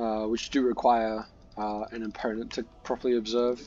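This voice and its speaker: A dark, mellow tone comes at a moderate pace with monotone, flat intonation. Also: man. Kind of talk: game tutorial commentary. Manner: hesitant, filler-heavy.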